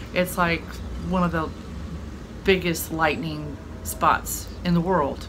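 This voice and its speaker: Noticeable background noise sits under the recording. A woman speaks very slowly in a fairly low pitch. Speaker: vlogger on business trip. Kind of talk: casual vlog chat. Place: home room. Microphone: phone near.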